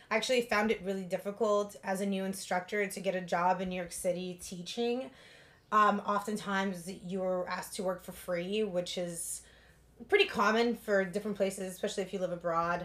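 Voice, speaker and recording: A woman's medium-pitched voice, fairly quick and monotone, with flat intonation. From Russia, moved to Los Angeles at 11. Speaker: yoga studio founder and instructor. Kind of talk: casual interview.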